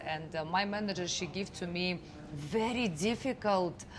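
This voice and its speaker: Her voice medium in pitch, a woman speaks fairly slowly with lively intonation, and the room echo is audible. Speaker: real estate sales head. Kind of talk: casual chat. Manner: hesitant, many fillers.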